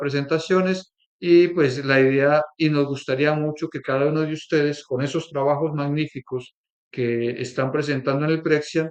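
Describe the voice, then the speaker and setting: A man talks at a fairly slow pace with a Colombian accent. His pitch is fairly high, and his intonation is fairly even. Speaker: workshop leader, institute co-director. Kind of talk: workshop presentation.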